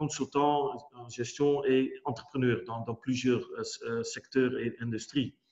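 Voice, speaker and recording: A man's medium-pitched voice with a Dutch accent, very slow and monotone with flat intonation. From Netherlands. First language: Dutch (speaking French). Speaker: business executive. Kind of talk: webinar presentation. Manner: halting, many hesitations and repetitions.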